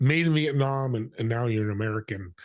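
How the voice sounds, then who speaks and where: In a quiet background, a man talks at a fairly quick pace with a medium pitch and ordinary pitch variation. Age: 60s. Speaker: podcast co-host. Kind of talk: casual interview.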